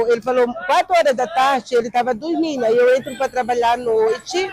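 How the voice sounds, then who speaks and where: Noticeable background noise under a woman speaking with very wide pitch swings. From Alagoas, northeast Brazil. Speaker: mother of a missing son. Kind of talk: documentary interview testimony.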